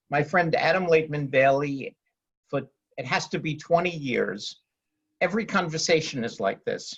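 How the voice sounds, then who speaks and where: A man with a fairly high pitch speaks with long, frequent pauses. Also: ordinary pitch variation, moderate pace. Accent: New York. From New York City (Queens). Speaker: real estate lawyer. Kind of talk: panel discussion.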